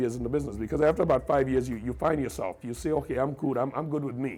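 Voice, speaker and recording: The man's voice sits at a medium pitch and carries vocal fry. His intonation stays fairly even. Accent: American. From Trinidad, San Juan. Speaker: radio broadcaster. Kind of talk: interview. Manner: repetitive stammering starts.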